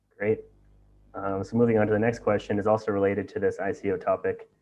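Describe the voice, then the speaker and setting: Music plays behind a man with an American accent. He talks at a fairly quick pace. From USA. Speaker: webinar moderator. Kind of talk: live Q&A webinar.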